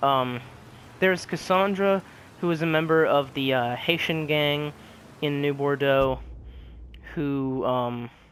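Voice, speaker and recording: A man's voice at a very slow pace, with ordinary pitch variation and long, frequent pauses. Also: fairly high pitch for a man. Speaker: video game reviewer. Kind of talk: game review. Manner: quiet and solemn; hesitant, many fillers.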